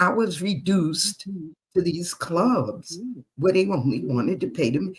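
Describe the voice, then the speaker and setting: A woman talks in an American accent, her voice somewhat breathy. Her pitch swings very widely. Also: fairly slow pace. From US Northeast, Queens New York. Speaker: retired jazz and blues singer, author. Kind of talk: interview. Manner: animated.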